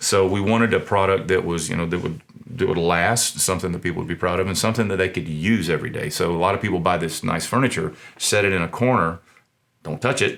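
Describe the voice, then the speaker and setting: A man with a Southern US accent speaks very fast in a very deep, low voice. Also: ordinary pitch variation. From US South. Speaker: small business owner, furniture maker. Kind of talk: interview. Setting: studio. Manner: halting, with many fillers and repetitions.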